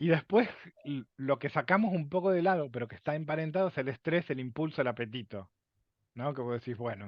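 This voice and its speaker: An ordinary speaking voice from a man, fairly high in pitch, at a fairly quick pace with lively intonation. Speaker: lecturer on emotions. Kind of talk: lecture. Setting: video call.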